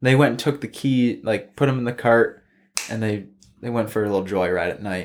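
With an American accent and a plain, everyday voice, a man talks at a fairly quick pace and medium pitch in a very clean recording with a silent background. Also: ordinary pitch variation. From Michigan, Silver Lake dunes area. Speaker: golf course family member and dune video creator. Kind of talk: casual chat.

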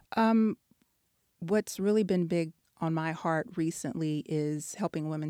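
A woman with an American accent and a normal speaking voice talks at a fairly slow pace and fairly low pitch, on a very clean recording with a silent background, dry and close with no echo. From Texas. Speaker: author and educator. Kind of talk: interview.

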